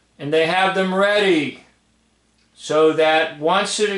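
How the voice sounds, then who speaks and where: Against a quiet background, a man's voice carries audible room echo. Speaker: commentator. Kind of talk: casual video commentary. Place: home room. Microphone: phone near.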